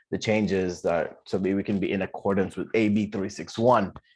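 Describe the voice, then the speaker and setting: Over a quiet background, a man talks at a fairly quick pace with a fairly low pitch. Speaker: neighborhood council adviser giving a training. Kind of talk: training presentation at a public meeting. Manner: fast; halting, many fillers.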